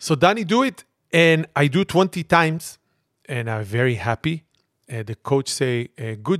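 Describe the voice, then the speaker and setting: Lively intonation marks this man's speech, delivered at a fairly slow pace in a non-native accent. The recording is very clean with a silent background and a dry, close sound with no echo. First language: not English. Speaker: podcast host. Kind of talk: comedic casual chat.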